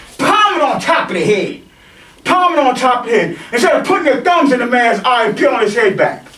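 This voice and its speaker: Over noticeable background noise and audible room echo, a man uses a raised, projected voice at an extremely high pitch, swinging very widely in pitch while keeping his loudness very even at a fairly quick pace. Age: 50s. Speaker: martial arts instructor. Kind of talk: rant. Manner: animated.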